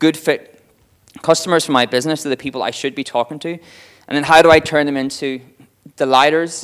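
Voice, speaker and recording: With an Irish accent, a man speaks in a fairly high pitch and fairly even intonation. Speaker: marketing director giving a talk. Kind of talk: conference talk. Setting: stage with audience. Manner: fast.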